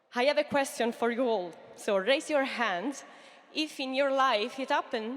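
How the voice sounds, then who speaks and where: Speaking at a fairly slow pace, a woman with an Italian accent keeps her intonation fairly even. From Italy. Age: 30s. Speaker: entrepreneur. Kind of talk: pitch talk. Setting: stage with audience. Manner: halting.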